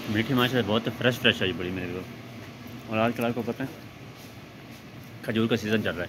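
A man at a moderate pace with fairly even intonation over noticeable background noise. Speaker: vlogger shopping. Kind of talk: casual vlog chat. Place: shop. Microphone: phone near.

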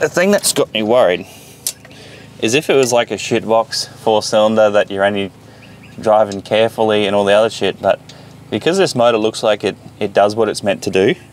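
A man talks fairly quickly in a normal speaking voice, fairly low with ordinary pitch variation. The sound is dry with no echo. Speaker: car hobbyist vlogger. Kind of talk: casual vlog commentary while working. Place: garden.

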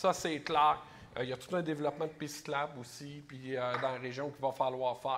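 A man speaks at a fairly quick pace with a Quebec accent and fairly even intonation. Noticeable background noise is present. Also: big swings in loudness. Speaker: special educator and election candidate; special educator, election candidate. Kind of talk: political debate. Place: stage. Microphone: lapel.

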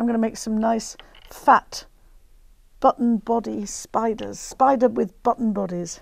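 A woman with a Lincolnshire accent, fairly high pitch, fairly even intonation and a fairly slow pace, against a quiet background. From northern England, Grimsby; northern England. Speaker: craft TV presenter; TV presenter. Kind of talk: craft demonstration. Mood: warm, chatty, anecdotal. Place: studio. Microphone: lapel.

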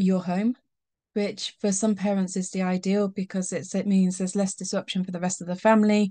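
A woman with a somewhat breathy, dark, mellow tone speaks at a moderate pace against a quiet background. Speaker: tutoring business owner. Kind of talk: explainer talk to parents. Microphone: webcam.

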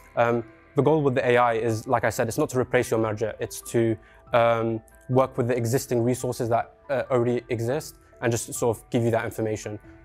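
Faint music plays in the background as the voice moves at a fairly quick pace in a monotone, flat intonation. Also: man. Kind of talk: presentation and interview answer. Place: studio. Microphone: lapel.

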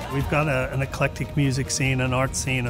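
Music plays in the background. A man speaks at a moderate pace with fairly even intonation. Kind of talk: interview answer. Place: bar. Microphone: lapel.

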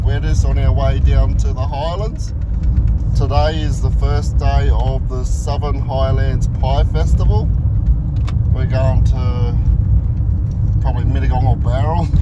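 Loud background noise competes with a man who talks at a fairly slow pace. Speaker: live streamer. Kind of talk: casual vlog chat. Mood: relaxed, friendly. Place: car. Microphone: phone near.

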